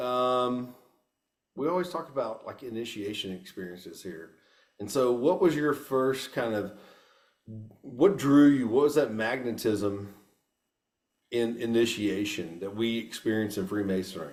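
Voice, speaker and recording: Speaking with a Texan accent, a man has a medium pitch and a moderate pace. He pauses long and often, and his loudness swings widely. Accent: Texan US Southern. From Texas. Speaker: podcast host. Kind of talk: casual interview.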